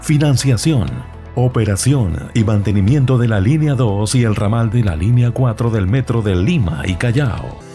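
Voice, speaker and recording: A man's medium-pitched voice at a fairly slow pace with lively intonation, music in the background. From Peru. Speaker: voice-over announcer. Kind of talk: corporate narration.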